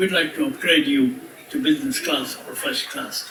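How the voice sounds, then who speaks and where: A man speaks in a raised, projected voice with very wide pitch swings. Noticeable background noise and audible room echo fill the recording. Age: 80s+. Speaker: resort owner giving birthday speech. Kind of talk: birthday speech to guests. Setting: party with audience.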